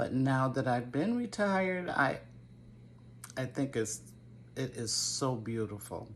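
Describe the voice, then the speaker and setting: In an American accent, the speech has lively intonation, vocal fry, and long, frequent pauses. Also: woman, very deep, low pitch for a woman. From Connecticut, Waterbury. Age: 70s. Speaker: gardening YouTuber. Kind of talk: casual Q&A vlog. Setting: home video to camera. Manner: hesitant, with fillers.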